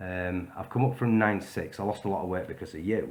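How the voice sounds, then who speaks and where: A man speaks with a Yorkshire accent. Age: 40s. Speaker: vlogger. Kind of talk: direct-to-camera video message. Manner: casual, hesitant with fillers.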